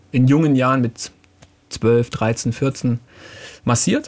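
A man speaks against noticeable background noise. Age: 30s. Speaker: physiotherapist and naturopath. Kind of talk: casual chat.

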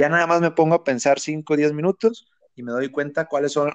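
A man talks very fast at a fairly high pitch. The sound is dry and close with no echo. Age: 30s. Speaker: online entrepreneur. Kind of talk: interview.

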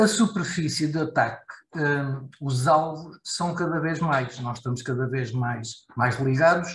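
The delivery is fairly slow and somewhat breathy. Pitch moves with ordinary variation. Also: man. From Portugal. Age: 50s. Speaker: IT security expert. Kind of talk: casual discussion. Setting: video call.

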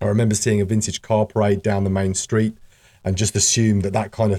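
On a very clean recording with a silent background, a man with a very deep, low pitch and a dark, mellow tone speaks at a fairly quick pace in a monotone, flat intonation. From UK. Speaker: podcast host and community association chairperson. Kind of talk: scripted-style podcast introduction, solo monologue. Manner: conversational, with fillers and hesitations.

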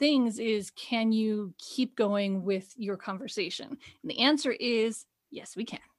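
With an unremarkable speaking voice, a woman talks at a fairly slow pace, her pitch fairly high and intonation fairly even, on a very clean recording with a silent background. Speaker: podcast co-host. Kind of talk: casual chat.

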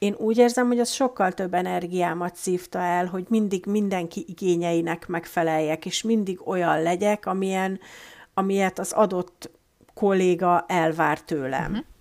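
A woman talks at a medium pitch and a moderate pace. She has an ordinary speaking voice with ordinary pitch variation. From Hungary. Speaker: guest, emigrant office worker. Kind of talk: casual interview chat.

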